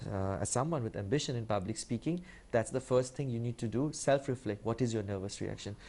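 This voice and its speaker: In an Indian accent, a man talks very fast in a dark, mellow tone at a medium pitch with ordinary pitch variation. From India (Kolkata). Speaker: public speaking champion. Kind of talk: TV interview. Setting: TV studio. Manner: fast when nervous; clearly articulated.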